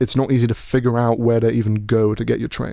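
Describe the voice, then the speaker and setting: Speaking with a British accent, a man talks at a very fast pace in a medium pitch. His tone is dark and mellow, his intonation monotone and flat. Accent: posh British, self-described. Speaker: podcast host. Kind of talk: casual chat. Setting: studio. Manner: halting, many false starts.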